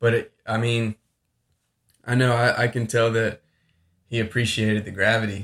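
This man has an American accent and speaks at a moderate pace with long, frequent pauses. His intonation is monotone and flat. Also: medium pitch for a man. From Florida. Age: 30s. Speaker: medical student. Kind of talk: casual interview. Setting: apartment.

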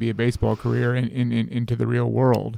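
The voice has a dark, mellow tone and an American accent. It moves at a fairly quick pace. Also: man. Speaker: sports podcast host. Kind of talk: casual interview. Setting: studio.

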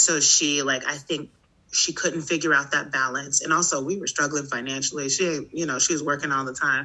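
A woman's very deep, low voice, monotone and flat, at a fairly quick pace. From US Midwest, Chicago South Side. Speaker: teacher, performer and yoga instructor. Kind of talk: casual interview.

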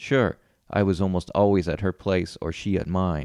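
A man with a very deep, low pitch and a dark, mellow tone at a moderate pace, dry and close with no echo, in a quiet background. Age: 40s. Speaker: author and storyteller. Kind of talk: reading aloud.

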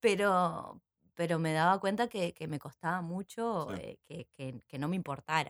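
The recording is very clean, with a silent background. A woman with a fairly low pitch speaks with lively intonation and big swings in loudness. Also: fairly slow pace, dry, close sound with no echo. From Uruguay, San José. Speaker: actress and theatre teacher. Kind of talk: casual interview. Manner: halting, many repetitions.

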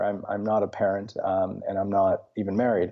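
A man with a Russian accent speaks at a moderate pace. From Belarus. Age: 30s. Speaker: novelist author. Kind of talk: interview. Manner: hesitant with fillers.

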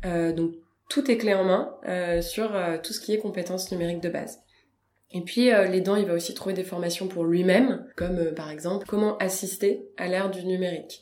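Speech at a moderate pace with fairly even intonation carries audible room echo. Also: woman, medium pitch for a woman. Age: 30s. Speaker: deputy director of a digital inclusion nonprofit. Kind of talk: interview. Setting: nonprofit's offices.

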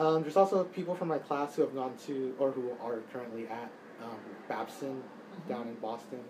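With an American accent, a man speaks at a medium pitch and a fairly quick pace. His pitch varies in an ordinary way, and there is noticeable background noise. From Texas, Dallas. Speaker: college student. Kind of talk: interview.

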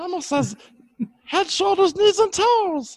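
A put-on character voice with an extremely high pitch goes along at a fairly slow pace.

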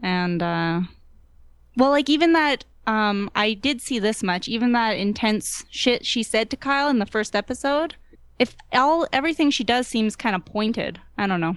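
A normal speaking voice from a woman, fairly high in pitch, with lively intonation at a moderate pace over a quiet background. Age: 20s. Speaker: guest panelist. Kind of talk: casual chat.

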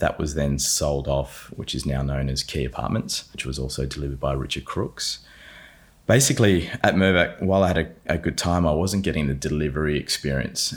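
The speaker talks at a fairly quick pace in an Australian accent. Vocal fry marks the voice. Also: man. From South Australia, Adelaide area. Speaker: performance coach, former property development manager. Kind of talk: casual interview.

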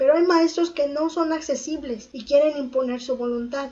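This woman speaks in a high pitch with ordinary pitch variation. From Mexico City. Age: 30s. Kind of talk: personal testimony.

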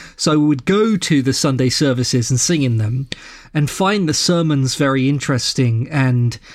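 In a London accent, a man talks at a moderate pace with a fairly high pitch and ordinary pitch variation, on a very clean recording with a silent background. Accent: southern English (London). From London, England. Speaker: podcast host and ethical society leader. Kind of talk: casual interview chat.

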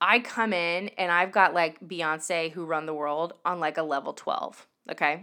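The voice is loud and animated with a bright, sharp tone, captured on a very clean recording over a silent background. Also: woman. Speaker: podcast host and singer-songwriter. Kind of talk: solo podcast monologue, casual and confessional. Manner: animated, high energy, loud.

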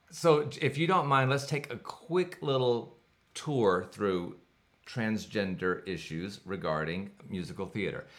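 Using vocal fry and very wide pitch swings, a man speaks at a fairly slow pace. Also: medium pitch for a man. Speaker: podcast host and music director. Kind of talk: casual interview chat. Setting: in person, same room. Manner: loud.

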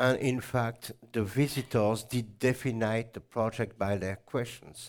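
A plain, everyday voice speaks fairly slowly with fairly even intonation. The recording is very clean, with a silent background. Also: man. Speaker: botanist and natural dyer. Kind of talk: lecture. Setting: stage with audience.

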